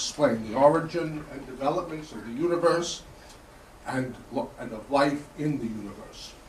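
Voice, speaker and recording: A man's fairly high voice at a moderate pace, with ordinary pitch variation, big swings in loudness, audible room echo and noticeable background noise. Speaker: historian and theologian lecturer. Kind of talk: lecture. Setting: conference lecture hall with audience. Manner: formal.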